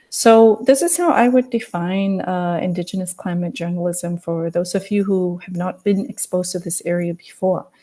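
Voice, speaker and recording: A woman with a medium-pitched voice and a dark, mellow tone speaks at a moderate pace, somewhat breathy, with ordinary pitch variation and hardly any pauses. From Samoa, island of Savai'i. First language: Samoan. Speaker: journalist. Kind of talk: webinar presentation.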